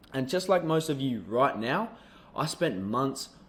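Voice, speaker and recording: Speaking at a moderate pace with an Australian accent, the man has a medium pitch. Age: young. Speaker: online business coach. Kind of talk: sales pitch.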